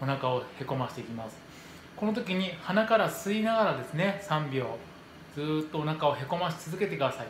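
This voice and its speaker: A man talks at a moderate pace with audible room echo and light background noise. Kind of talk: tutorial. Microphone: phone near.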